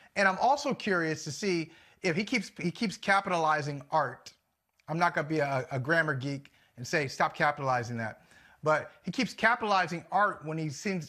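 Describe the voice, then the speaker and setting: A man speaks with a bright, sharp tone and lively intonation over a quiet background. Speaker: sports talk show co-host. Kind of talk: commentary. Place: home room. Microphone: lapel.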